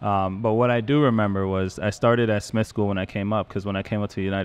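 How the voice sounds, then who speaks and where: At a very fast pace, a man talks in a fairly low voice with fairly even intonation. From Jamaica. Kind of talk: casual chat.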